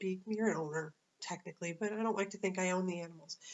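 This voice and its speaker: A woman with ordinary pitch variation. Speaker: dog walker and pet sitter. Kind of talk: casual vlog monologue. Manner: fast; halting, many fillers.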